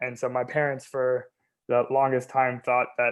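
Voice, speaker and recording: Speaking with a Californian accent, a man has a medium pitch and a moderate pace. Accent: General American, Californian. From US West Coast, Bay Area. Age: 20s. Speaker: stuttering advocate, nonprofit founder. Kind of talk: talk about personal experiences. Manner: halting with repetitions.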